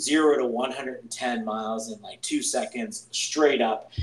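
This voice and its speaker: Noticeable background noise accompanies a man with an American accent. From Pittsburgh, Pennsylvania. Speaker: podcast host. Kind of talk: casual chat.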